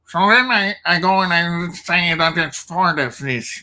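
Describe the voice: Someone in a put-on character voice speaks fairly slowly at a middle pitch.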